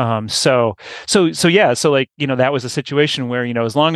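Dry and close with no echo, a man's normal speaking voice comes through at a medium pitch with ordinary pitch variation. He keeps a moderate pace against a quiet background. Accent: American. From New York. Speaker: newsletter publisher. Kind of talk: casual interview. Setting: remote recording.

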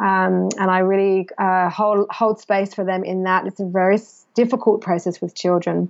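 A woman at medium pitch talks at a moderate pace with monotone, flat intonation. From England. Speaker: business mentor for mothers and author. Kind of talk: podcast interview.

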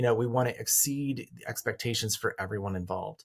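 A man at medium pitch with an American accent, somewhat breathy, at a very fast pace with ordinary pitch variation, on a very clean recording with a silent background. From rural Colorado. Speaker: counselor and author. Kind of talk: interview conversation.

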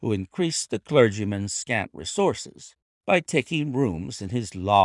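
Reading aloud in a natural voice, the speaker uses lively intonation over a quiet background.

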